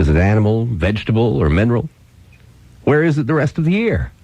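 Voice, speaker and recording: A man with an American accent, speaking at a moderate pace. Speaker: radio host. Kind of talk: radio storytelling. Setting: radio broadcast recorded on cassette.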